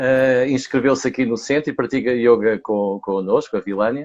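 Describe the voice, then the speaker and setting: With a European Portuguese accent, a man speaks at a medium pitch with fairly even intonation. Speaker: yoga teacher. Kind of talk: casual chat. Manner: slow.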